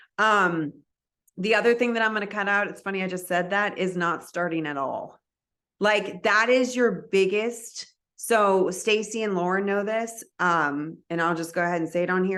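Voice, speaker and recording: The background is quiet. A woman talks at medium pitch with ordinary pitch variation. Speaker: direct sales team leader. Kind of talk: team training talk. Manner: fast; casual, filler-heavy.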